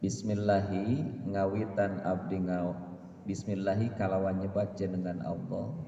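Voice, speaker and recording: In a West Javanese accent, a man speaks fairly slowly at a fairly low pitch with ordinary pitch variation and audible room echo. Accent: Sundanese. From West Java, Indonesia (Sundanese). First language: Sundanese (speaking Indonesian). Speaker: religious teacher. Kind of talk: religious lesson on a classical text. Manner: halting with fillers.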